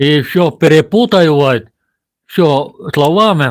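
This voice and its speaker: Speaking very slowly with a non-native accent, a man has a fairly high pitch. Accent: non-Russian. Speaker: village vlogger. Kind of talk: live stream monologue. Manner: halting.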